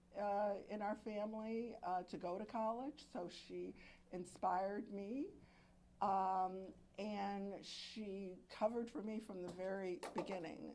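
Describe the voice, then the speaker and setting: Medium-pitched female voice with a dark, mellow tone, fairly even intonation and a fairly slow pace, plus audible room echo. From Alexandria, Virginia. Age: 70s. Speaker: murder victim's sister. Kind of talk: press conference remarks.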